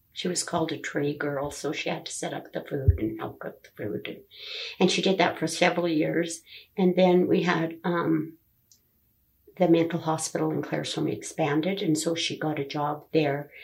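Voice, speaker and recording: Vocal fry runs through a woman's fairly low-pitched voice as she speaks with a Canadian accent and fairly even intonation. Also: moderate pace. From Alberta, Canada. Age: 70s. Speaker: grandmother interviewed about her life. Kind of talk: family oral history interview.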